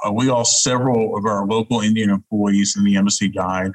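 A man with a Southern US accent speaks at a medium pitch, his voice recorded dry and close with no echo. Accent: Southern US accent, persisting. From US South, Huntsville, Alabama. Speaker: diplomat. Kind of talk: interview. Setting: video call.

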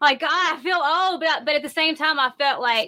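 The speaker is a woman. She talks in a Southern US accent. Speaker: rock singer. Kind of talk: casual chat.

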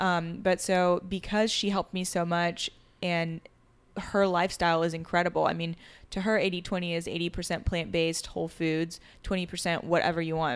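With an American accent, a woman talks at a fairly quick pace in a fairly low pitch and a flat, monotone intonation, on a very clean recording with a silent background. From France until age 9, then Charleston, US. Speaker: former reality TV star and clothing brand owner. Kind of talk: casual chat. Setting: at home, overlooking a creek.

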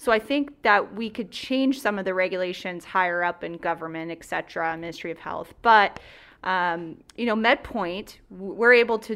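With big swings in loudness, a woman speaks at a moderate pace and medium pitch in a bright, sharp tone, on a very clean recording with a silent background. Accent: Ontario. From rural southwestern Ontario, Canada. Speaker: healthcare clinic operations director. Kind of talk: radio talk show interview.

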